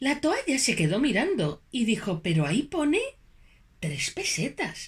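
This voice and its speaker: Very wide pitch swings and vocal fry mark this woman's speech, delivered at a fairly slow pace. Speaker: storyteller; puppeteer. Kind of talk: children's story narration.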